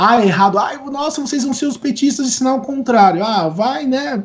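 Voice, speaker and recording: A man speaks with lively intonation. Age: 30s. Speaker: singer and songwriter. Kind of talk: interview conversation.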